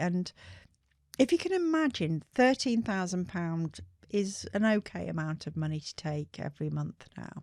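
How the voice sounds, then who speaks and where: Lively intonation comes through in a West Midlands accent at a fairly slow pace. The sound is dry and close with no echo, on a very clean recording with a silent background. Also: woman. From England, Shropshire. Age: 60s. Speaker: skincare brand founder. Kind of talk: interview storytelling.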